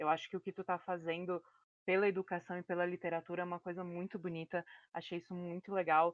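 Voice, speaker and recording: This woman talks very fast in a fairly low pitch. Her intonation stays monotone and flat. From Rio Grande do Sul. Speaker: podcast co-host. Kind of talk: interview.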